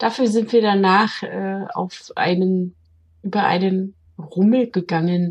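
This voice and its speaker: This woman talks at a very slow pace, her voice somewhat breathy and medium in pitch. Her intonation stays fairly even. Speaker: podcast co-host. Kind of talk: casual chat.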